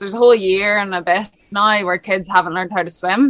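Here a woman with a Northern Irish accent speaks at a moderate pace and medium pitch. Her tone is bright and sharp, and her intonation fairly even. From Lisburn, Northern Ireland. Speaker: swim coach and former international swimmer. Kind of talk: casual interview.

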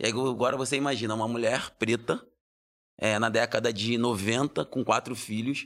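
The speaker is a man with a plain, everyday voice. The recording is very clean, with a silent background. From Brazil, Rio de Janeiro. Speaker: lawyer and social entrepreneur. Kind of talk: interview conversation.

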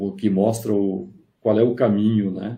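A man speaks at a fairly low pitch. His voice is somewhat breathy, with a dark, mellow tone. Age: 60s. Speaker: engineering professor. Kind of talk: interview on a live stream. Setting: online live stream.

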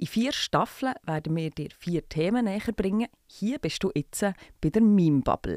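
A plain, everyday voice carries lively intonation. It sounds dry and close with no echo. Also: woman, medium pitch for a woman. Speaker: podcast host. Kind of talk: scripted narration; casual chat.

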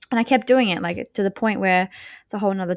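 A woman with an Australian accent, in a dry, close sound with no echo and a very clean recording over a silent background. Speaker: podcast host and business coach. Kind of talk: casual monologue.

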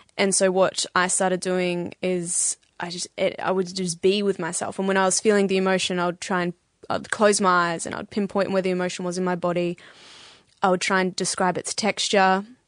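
In an Australian accent, a woman speaks at medium pitch with monotone, flat intonation against a quiet background. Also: moderate pace, dry, close sound with no echo. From Australia, Bendigo (Victoria). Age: 20s. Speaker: podcast guest. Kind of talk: casual chat.

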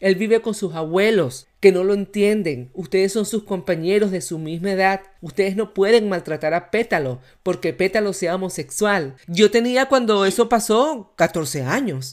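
A woman has an unremarkable speaking voice at medium pitch, with lively intonation. She keeps a moderate pace and hardly any pauses. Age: 40s. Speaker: podcast host. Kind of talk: casual chat.

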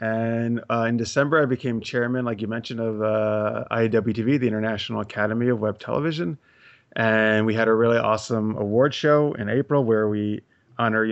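Speaking at a fairly quick pace, a man uses fairly even intonation at a medium pitch in a normal speaking voice. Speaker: web series creator. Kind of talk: casual chat.

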